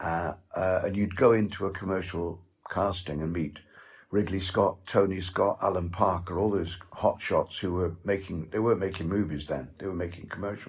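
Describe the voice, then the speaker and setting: Very deep and low, a man's somewhat breathy voice holds a fairly even intonation. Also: moderate pace, very clean recording, silent background. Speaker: actor. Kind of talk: interview. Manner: halting.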